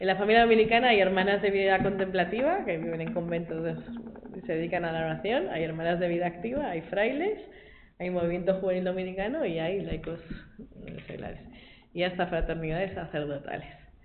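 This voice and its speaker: Room echo and noticeable background noise surround a woman's voice. She speaks at a medium pitch with ordinary pitch variation. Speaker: lay Dominican, school worker. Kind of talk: testimony talk to a group. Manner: fast.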